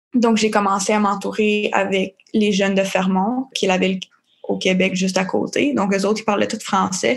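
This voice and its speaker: A woman's medium-pitched voice with vocal fry, fairly even intonation, very even loudness and a moderate pace. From Labrador, Newfoundland and Labrador. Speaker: young bilingual worker. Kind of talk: casual testimony. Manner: hesitant, filler-heavy.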